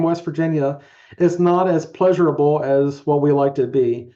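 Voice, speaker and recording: An American accent marks this man's high-pitched voice, dark and mellow in tone, with ordinary pitch variation. He talks at a moderate pace against a quiet background. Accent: slight rural twang. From Eastern Shore of Maryland. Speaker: criminologist, community organization director. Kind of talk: online meeting presentation.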